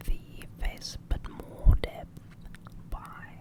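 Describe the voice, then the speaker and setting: Someone whispers in a calm tone. Noticeable background noise is present. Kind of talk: ASMR drawing tutorial, whispered voice-over. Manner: whispered, soft, calm.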